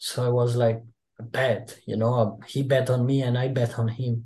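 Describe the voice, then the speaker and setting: Over a quiet background, a man speaks very slowly at a medium pitch, his somewhat breathy voice carrying a dark, mellow tone. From Italy. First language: Italian. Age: 20s. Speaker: pro wrestler. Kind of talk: interview.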